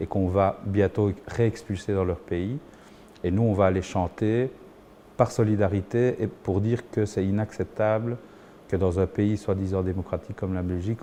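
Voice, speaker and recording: His pitch fairly low, a man speaks at a fairly slow pace with monotone, flat intonation. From Belgium, Liège (Saint-Léonard), born in Chile. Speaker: musician and singer. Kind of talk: documentary interview testimony. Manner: hesitant, frequent repetitions.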